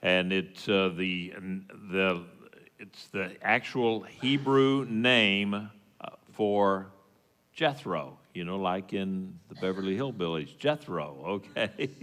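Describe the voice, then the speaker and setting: A man with a very deep, low pitch talks at a very slow pace, using ordinary pitch variation. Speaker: congregation teacher. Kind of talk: sermon. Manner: halting, many fillers.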